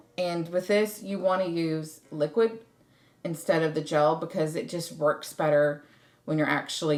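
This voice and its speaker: Speaking with an American accent, a woman's very deep, low voice shows ordinary pitch variation. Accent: Southern drawl, occasional. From US South. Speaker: craft YouTuber. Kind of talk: tutorial. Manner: casual, chatty.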